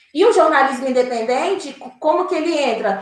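With audible room echo, a woman speaks using lively intonation. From Brazil, Minas Gerais (Diamantina, raised in Belo Horizonte area). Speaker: journalist. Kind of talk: interview conversation.

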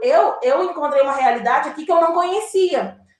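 A woman's extremely high voice with very wide pitch swings and a fairly quick pace. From Brazil, Minas Gerais (Diamantina, raised in Belo Horizonte area). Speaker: journalist. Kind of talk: interview conversation.

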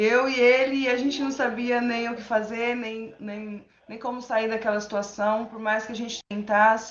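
Over noticeable background noise and audible room echo, a woman with a fairly high voice talks at a fairly slow pace with hardly any pauses, her intonation monotone and flat while her loudness swings widely. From São Paulo, Brazil. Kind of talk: interview testimony.

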